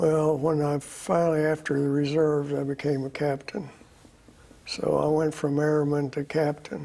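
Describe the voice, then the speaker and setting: An American accent at a moderate pace, with monotone, flat intonation and very even loudness. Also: man, fairly high pitch for a man. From Oklahoma and Texas. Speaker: Air Force veteran. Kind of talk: interview. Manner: halting.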